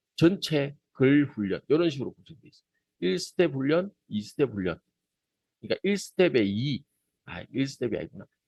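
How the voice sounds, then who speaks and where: In a dry, close sound with no echo, a man with a Gyeongsang accent uses a fairly high pitch, very wide pitch swings and big swings in loudness. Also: moderate pace. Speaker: teacher trainer. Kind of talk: lecture. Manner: casual, conversational.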